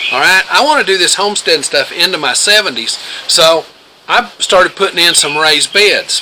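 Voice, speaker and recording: Speaking at a moderate pace, a man uses a high pitch and an Appalachian accent. Background noise is noticeable. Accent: Appalachian US Southern. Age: 60s. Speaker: homesteader. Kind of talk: casual advice talk to camera.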